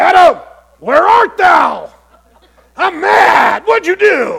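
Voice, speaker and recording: A man uses a put-on character voice at an extremely high pitch. He talks at a very slow pace. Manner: stern, angry.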